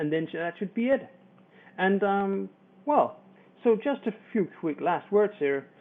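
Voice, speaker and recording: A high-pitched man with a Danish accent, fairly slow, with long, frequent pauses. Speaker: internet marketer. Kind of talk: tutorial. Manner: halting.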